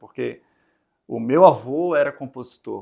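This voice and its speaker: Male speech, very cleanly recorded against a completely silent background. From Brazil, Recife (Northeast). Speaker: startup founder and CEO, musician. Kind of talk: interview. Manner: hesitant, many fillers and repetitions.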